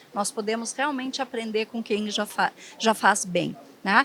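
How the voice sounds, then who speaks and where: Fairly slow, fairly high-pitched female speech in a southern Brazilian accent. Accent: gaúcho (southern Brazilian). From southern Brazil (Rio Grande do Sul). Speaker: hospital HR and development executive. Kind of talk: panel discussion.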